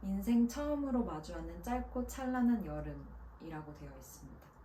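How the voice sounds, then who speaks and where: A woman speaks in a calm tone at a fairly slow pace. Background noise is noticeable. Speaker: voice actor. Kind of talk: book introduction talk to camera. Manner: calm, soft-spoken.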